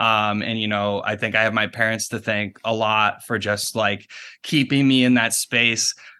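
A man with an American accent at medium pitch and moderate pace, flat and monotone in a bright, sharp tone, over a quiet background. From Michigan's Upper Peninsula. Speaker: documentary filmmaker. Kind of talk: casual interview. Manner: halting, many filler words.

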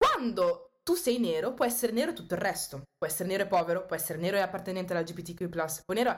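A woman's voice moves along at a fairly quick pace. Her pitch is medium. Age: 20s. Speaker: student and activist. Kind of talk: casual chat.

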